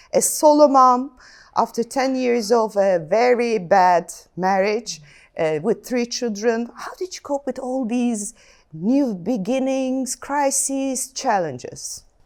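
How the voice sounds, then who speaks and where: A woman with a high voice speaks at a very slow pace with lively intonation. The recording is very clean, with a silent background. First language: Turkish. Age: 50s. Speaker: TV interviewer. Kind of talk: interview.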